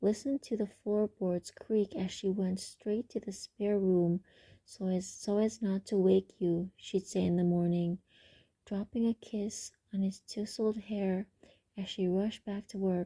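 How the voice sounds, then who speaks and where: A woman speaks slowly-ish, at a fairly slow pace, in a dark, mellow, somewhat breathy tone. Her intonation is fairly even, and the recording is very clean with a silent background. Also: medium pitch for a woman. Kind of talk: ASMR book reading. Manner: soft-spoken, not whispered.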